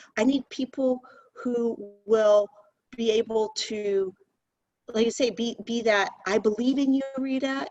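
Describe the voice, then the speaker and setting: Here is a plain, everyday voice from a woman, fairly high in pitch. She talks at a fairly slow pace with ordinary pitch variation. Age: 60s. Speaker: company CEO. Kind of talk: interview.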